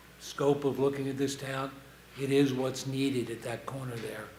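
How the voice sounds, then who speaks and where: With audible room echo and noticeable background noise, a man talks at a moderate pace and a medium pitch. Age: 70s. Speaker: public commenter at town council meeting. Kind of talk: public comment. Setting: town council meeting. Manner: halting.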